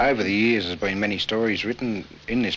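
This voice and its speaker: In a rural Australian accent, the speaker talks at a very fast pace with fairly even intonation. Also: man. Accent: broad rural Australian. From Australia, rural Victoria (Boort). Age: 40s. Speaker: country newspaper editor. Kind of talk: interview. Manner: relaxed, conversational.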